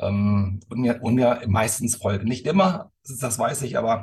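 Somewhat breathy, this man's voice sits at a medium pitch. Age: 50s. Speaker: company executive. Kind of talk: casual chat. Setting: video call.

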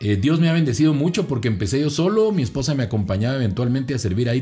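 Over music in the background, a man with a Guatemalan accent talks at a very fast pace in an animated tone. His pitch is medium, and his intonation is lively. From Guatemala, Guatemala City. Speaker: voice-over announcer and communicator. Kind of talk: casual interview and testimony.

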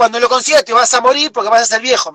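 Projecting his voice in a raised tone, a man with an Argentine accent sounds bright and sharp, recorded dry and close with no echo. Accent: Rioplatense Argentine Spanish. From Argentina, Buenos Aires. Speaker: overland traveler. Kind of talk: interview. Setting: video call from camper van. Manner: loud.

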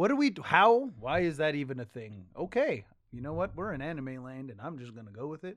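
On a very clean recording with a silent background, a man with a fairly high pitch uses lively intonation and big swings in loudness. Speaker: podcast host. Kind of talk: casual podcast chat. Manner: animated, profane.

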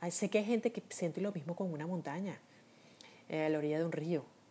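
A woman's dark, mellow voice at a fairly quick pace, with ordinary pitch variation. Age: 50s. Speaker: podcaster. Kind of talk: personal monologue. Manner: reflective, with frequent hesitations.

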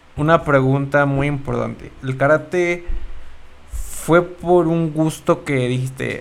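With music playing behind him, a man speaks very slowly at a fairly high pitch and with fairly even intonation. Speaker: podcast co-host. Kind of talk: casual chat.

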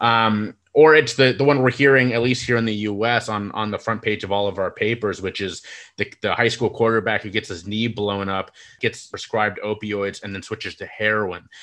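A man with an ordinary speaking voice talks at a fairly low pitch, his intonation fairly even. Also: moderate pace, quiet background. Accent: American. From United States. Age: 30s. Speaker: mental health speaker and podcaster. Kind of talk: casual interview conversation.

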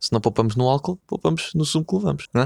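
Speaking at a very fast pace with a European Portuguese accent, a man swings very widely in pitch. The recording is very clean, with a silent background and a dry, close sound with no echo. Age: 20s. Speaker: podcaster. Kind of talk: casual chat. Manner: animated.

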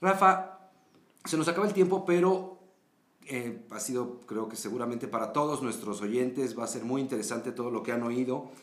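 With audible room echo, a man talks at a moderate pace and medium pitch, his pitch swinging very widely. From Mexico. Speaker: podcast host. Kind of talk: scripted narration; interview.

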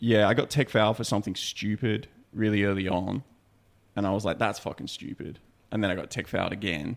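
A man with an Australian accent at a fairly quick pace, fairly even intonation, and a very clean recording with a silent background. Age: 30s. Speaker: podcast co-host. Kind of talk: casual chat. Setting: studio.

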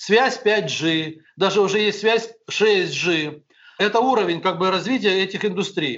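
A man talks at a very slow pace. His pitch is high, with ordinary pitch variation. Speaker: businessman and educator, founder of private schools. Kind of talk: interview.

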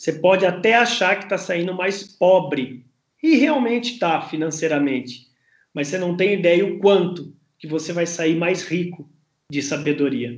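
Here a man with a high pitch speaks at a moderate pace. His intonation is lively. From Brazil, interior of São Paulo state (Campinas). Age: 40s. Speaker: writer, speaker and sales professor. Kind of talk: podcast interview.

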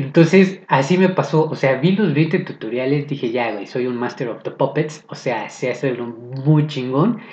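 A somewhat breathy man's voice at a fairly high pitch, with a Mexican accent. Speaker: podcaster. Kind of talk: casual monologue. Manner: slow; sarcastic tones.

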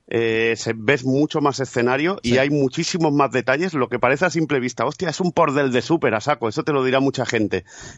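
A man speaks in an ordinary speaking voice, at a medium pitch with ordinary pitch variation. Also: fairly quick pace, hardly any pauses. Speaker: podcaster. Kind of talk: casual chat.

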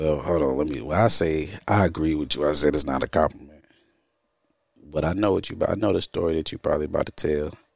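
A man speaks at a very fast pace with a very deep, low pitch and vocal fry. His pitch varies in an ordinary way. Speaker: podcast host. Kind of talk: casual chat.

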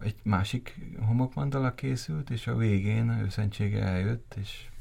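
This man's voice is fairly low in pitch and somewhat breathy. He speaks at a fairly slow pace with ordinary pitch variation. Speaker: gallery founder. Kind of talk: interview.

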